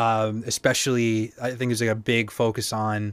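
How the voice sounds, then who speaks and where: A man's medium-pitched voice with an American accent, fairly slow and monotone with flat intonation. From Boston, Massachusetts. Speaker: musician and producer. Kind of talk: casual chat. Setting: video call.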